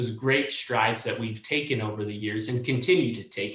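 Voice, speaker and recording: Audible room echo surrounds this man's voice. He talks at a medium pitch with fairly even intonation. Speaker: meat industry representative. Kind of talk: panel discussion. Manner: fast.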